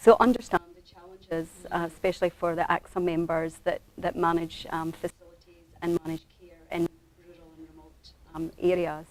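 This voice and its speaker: In a Scottish accent, the speaker holds a moderate pace and fairly even intonation, with big swings in loudness. The sound is dry and close, without echo. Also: woman, fairly low pitch for a woman. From Scotland. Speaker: aged care manager, former nurse. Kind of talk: webinar panel discussion.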